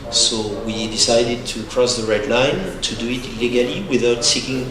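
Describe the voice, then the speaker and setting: With a French accent and monotone, flat intonation, a man speaks at a medium pitch and moderate pace amid noticeable background noise and audible room echo. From France. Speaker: photojournalist. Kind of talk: presentation.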